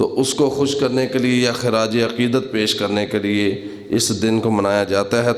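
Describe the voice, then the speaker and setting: A man speaks at medium pitch with very even loudness and fairly even intonation. Background noise is noticeable. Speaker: Islamic scholar giving a sermon. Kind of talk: Islamic sermon on etiquette.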